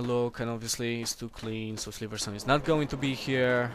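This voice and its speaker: Speaking with a Polish accent, a man keeps a fairly quick pace. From Poland. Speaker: gaming video creator. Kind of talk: gameplay commentary. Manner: casual, hesitant.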